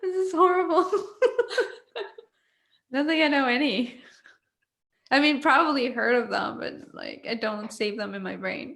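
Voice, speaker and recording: With lively intonation, a woman speaks at a high pitch and leaves long, frequent pauses. Audible room echo surrounds her voice. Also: moderate pace. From Mexico. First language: Spanish. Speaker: panel host. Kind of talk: casual chat.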